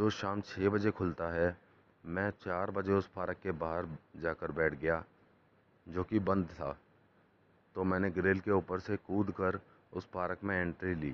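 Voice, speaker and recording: A man's very deep, low voice in a monotone, flat delivery, broken by long, frequent pauses. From Delhi, India. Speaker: storyteller. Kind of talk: personal life story narration.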